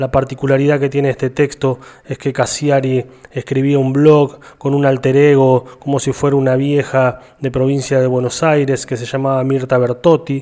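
At a moderate pace, a man with a medium pitch talks in a monotone, flat intonation. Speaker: radio host. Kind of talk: radio show narration.

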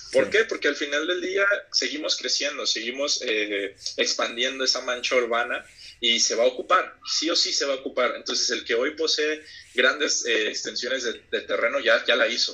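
Male speech at a moderate pace against noticeable background noise. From Mexico, Oaxaca coast (Huatulco). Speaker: real estate investor. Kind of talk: casual interview chat.

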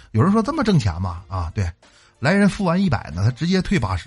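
A somewhat breathy male voice at a fairly quick pace with very wide pitch swings, against a quiet background. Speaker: radio host. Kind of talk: comedic monologue. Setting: studio.

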